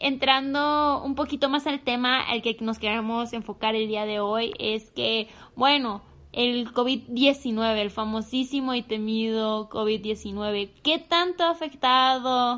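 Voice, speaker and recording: A woman's very slow, high-pitched voice with a bright, sharp tone and ordinary pitch variation. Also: quiet background. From Michoacán, Mexico. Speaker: agribusiness student and podcast co-host. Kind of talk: casual chat.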